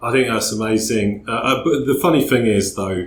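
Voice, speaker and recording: A man speaks in an English accent. His pitch varies in an ordinary way. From England. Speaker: podcast host. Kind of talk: casual interview chat.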